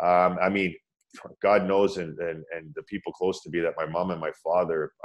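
A man with a Canadian accent, very deep and low in pitch, at a moderate pace. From Ontario, Canada (Scarborough/Pickering, Toronto area). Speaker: former pro ice hockey player, meditation teacher. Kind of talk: interview, personal story.

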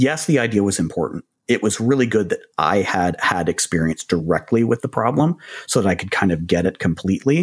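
A man talks at a fairly quick pace in a fairly low pitch with lively intonation, a plain, everyday voice recorded with a dry, close sound and no echo. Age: 50s. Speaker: startup executive and co-host. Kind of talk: casual business conversation.

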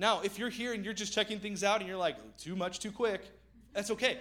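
The voice is raised and projected, bright and sharp in tone, with ordinary pitch variation. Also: man. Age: 30s. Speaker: pastor. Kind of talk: sermon. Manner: casual.

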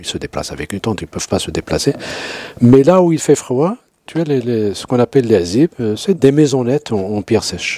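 A man of medium pitch with a dark, mellow tone and lively intonation, in a dry, close sound with no echo. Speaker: anthropologist, university professor. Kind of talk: interview, expert explanation.

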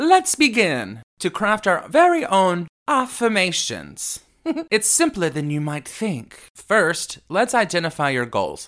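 This man has a high-pitched voice with very wide swings in pitch. He speaks very slowly on a very clean recording with a silent background. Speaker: podcast host. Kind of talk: motivational self-help talk. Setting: studio. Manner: loud; animated.

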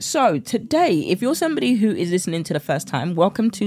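A woman with a southern English accent, a slightly mellow tone, big pitch swings and a moderate pace. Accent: British, southern English.

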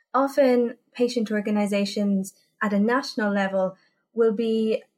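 At a moderate pace, a woman speaks somewhat breathily with fairly even intonation. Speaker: patient advocacy organisation leader. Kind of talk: interview.

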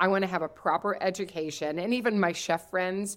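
This woman speaks fairly quickly at a medium pitch. She has an ordinary speaking voice. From US Midwest (Kentucky roots). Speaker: cookbook author and food entrepreneur. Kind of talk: interview podcast.

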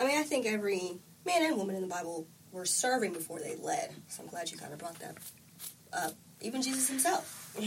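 A woman with a medium pitch talks at a fairly quick pace, her pitch swinging very widely and her loudness rising and falling a lot, over noticeable background noise. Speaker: podcast host. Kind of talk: casual chat.

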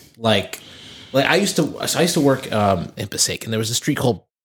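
Speaking with a New Jersey accent, a man uses very wide pitch swings around a medium pitch. His somewhat breathy voice moves at a fairly quick pace. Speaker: podcast co-host. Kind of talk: casual chat.

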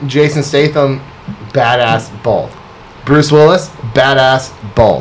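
The speech moves at a very slow pace with long, frequent pauses and fairly even intonation. Noticeable background noise runs underneath. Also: man, fairly high pitch for a man. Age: 30s. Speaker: barber. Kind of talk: casual chat.

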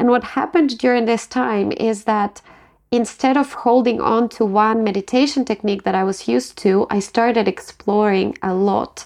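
A woman with a Ukrainian accent talks at a fairly high pitch and a moderate pace, with ordinary pitch variation. The background is quiet. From Ukraine. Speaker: meditation guide and life coach. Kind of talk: interview.

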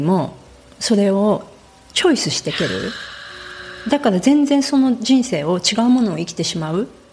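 A woman with a fairly high pitch that swings very widely speaks at a moderate pace over noticeable background noise. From Japan. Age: 50s. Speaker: author and naturalist. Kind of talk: interview.

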